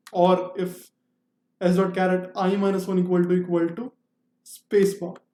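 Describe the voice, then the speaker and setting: Long, frequent pauses break up the speech. It comes at a moderate pace in an Indian accent. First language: Hindi. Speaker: programming tutor. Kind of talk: tutorial. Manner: halting.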